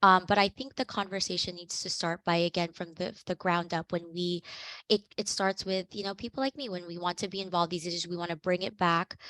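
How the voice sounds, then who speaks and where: A voice with a Californian accent has a bright, sharp tone, fairly even intonation and a fairly quick pace. The sound is dry and close with no echo, in a very clean recording with a silent background. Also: woman, fairly low pitch for a woman. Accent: Californian American. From San Diego, California. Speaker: activist. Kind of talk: panel discussion. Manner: halting.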